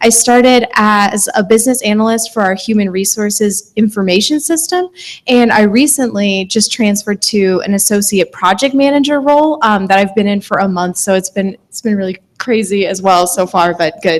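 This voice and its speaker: A woman with a Midwestern American accent speaks at a moderate pace with hardly any pauses. Her medium-pitched voice shows ordinary pitch variation. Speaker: project manager. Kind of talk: panel talk.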